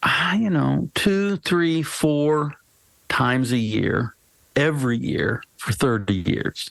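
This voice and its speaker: A man's fairly high-pitched voice, very slow in pace, with lively intonation. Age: 60s. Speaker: pastor and author. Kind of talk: casual chat. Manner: halting, many fillers and restarts.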